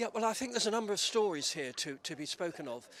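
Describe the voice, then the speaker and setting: A man speaks with a southern English accent. His pace is fairly quick. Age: 70s. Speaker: retired head teacher and activist. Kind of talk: news interview.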